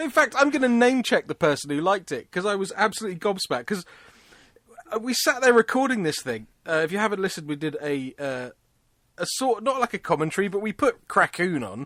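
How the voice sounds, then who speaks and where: A high-pitched man races along at a very fast pace with a British accent and very wide pitch swings. His tone is bright and sharp, the sound dry and close with no echo. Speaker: podcast co-host. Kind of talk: casual chat. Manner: loud.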